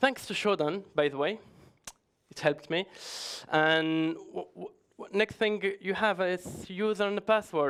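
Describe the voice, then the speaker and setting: Delivered at a fairly slow pace, the speech has long, frequent pauses. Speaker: security researcher, conference speaker. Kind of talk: conference talk. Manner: halting, many restarts.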